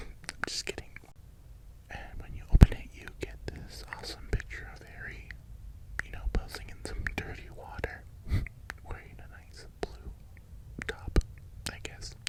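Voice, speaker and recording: Whispering at a fairly slow pace, with big swings in loudness, long and frequent pauses, and noticeable background noise. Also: man. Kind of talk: casual talk to camera, ASMR-style vinyl collection show-and-tell. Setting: voiceover recorded after filming, with fans running.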